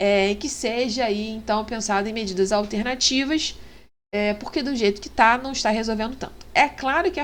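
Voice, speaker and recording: Amid audible room echo, a woman with a fairly high pitch speaks at a moderate pace with ordinary pitch variation. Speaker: law teacher. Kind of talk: lecture. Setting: online class with screen share. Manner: hesitant, many fillers.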